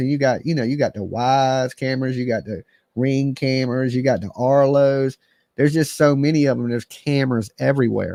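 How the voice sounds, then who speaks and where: This man speaks at a fairly quick pace and medium pitch, in a dry, close sound with no echo on a very clean recording with a silent background. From West Texas border (El Paso). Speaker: true crime livestreamer. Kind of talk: livestream commentary. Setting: live stream. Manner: loud; animated. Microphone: close to mic, loud levels.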